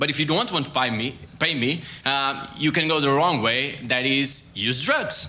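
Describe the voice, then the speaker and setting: Amid noticeable background noise and audible room echo, a man with a Portuguese accent speaks at a fairly high pitch and a fairly slow pace, with fairly even intonation and very even loudness. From Portugal. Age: young. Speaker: sports scientist. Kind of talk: science talk. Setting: stage with audience. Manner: halting.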